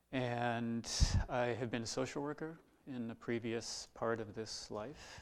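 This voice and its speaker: At a fairly slow pace, a man talks in a normal speaking voice with a medium pitch and fairly even intonation. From US Midwest, Iowa. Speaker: Zen teacher. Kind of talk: dharma talk.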